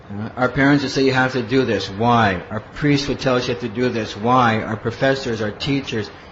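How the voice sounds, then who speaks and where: Over noticeable background noise and audible room echo, a man talks at a fairly quick pace with hardly any pauses, his medium pitch carrying fairly even intonation. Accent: American. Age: 50s. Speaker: monk and spiritual teacher. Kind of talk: lecture.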